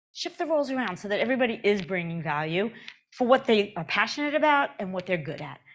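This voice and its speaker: Talking at a very fast pace with very wide pitch swings, a woman speaks in a New York accent. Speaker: conference speaker on agile transformation. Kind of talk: conference talk. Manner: conversational, with fillers and restarts.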